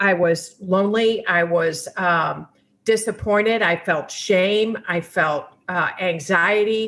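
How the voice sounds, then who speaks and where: Her pitch sits in the medium range for a woman. The intonation holds fairly level. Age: 60s. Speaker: mother in recovery from alcoholism, book author. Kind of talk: interview testimony. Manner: halting.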